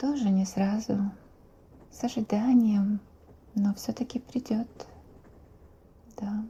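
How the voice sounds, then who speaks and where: A soft-spoken woman talks at a very slow pace with long, frequent pauses. Her intonation is fairly even, and noticeable background noise sits behind her. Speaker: ASMR creator. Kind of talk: ASMR roleplay.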